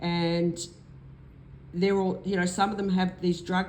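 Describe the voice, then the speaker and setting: Speaking in an Australian accent at a fairly slow pace, a woman holds a medium pitch with monotone, flat intonation, and audible room echo surrounds her voice. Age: 60s. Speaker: vlogger. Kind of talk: personal vlog testimony. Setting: at home. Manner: hesitant, with fillers.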